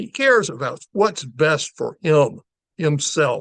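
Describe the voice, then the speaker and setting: A man speaks at a very slow pace with lively intonation. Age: 70s. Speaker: podcast host. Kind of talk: political rant. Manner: impassioned.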